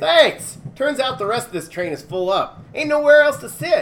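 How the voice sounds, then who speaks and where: A put-on character voice, high-pitched, at a moderate pace. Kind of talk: casual. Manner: friendly, folksy, loud.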